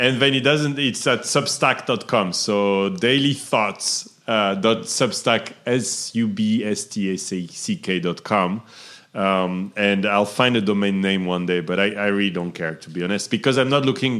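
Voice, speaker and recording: A fairly low-pitched man with a French accent, fairly slow and with hardly any pauses. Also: ordinary pitch variation. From southern France. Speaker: entrepreneur. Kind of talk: interview.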